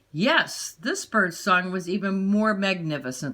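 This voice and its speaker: In a put-on character voice, a woman talks at a fairly slow pace, her medium-pitched, raspy delivery full of lively intonation. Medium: read story.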